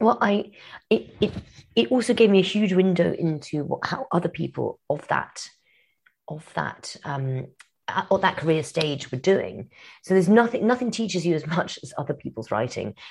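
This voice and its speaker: Using vocal fry, a woman talks at a moderate pace and fairly low pitch with very wide pitch swings. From grew up abroad (Kenya, Madagascar, Yemen, Morocco). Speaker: novelist. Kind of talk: interview.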